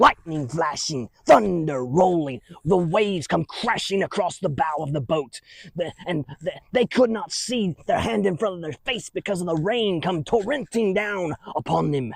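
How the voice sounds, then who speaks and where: A man puts on a character voice with a high pitch at a moderate pace. The sound is dry and close, with no echo. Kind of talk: children's church skit. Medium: solo performance. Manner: rambling, chuckling, folksy.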